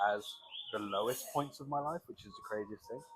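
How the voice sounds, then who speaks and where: A man with a British accent at a very fast pace, medium in pitch, with ordinary pitch variation and noticeable background noise. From UK. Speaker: crypto trader. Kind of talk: podcast interview. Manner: casual.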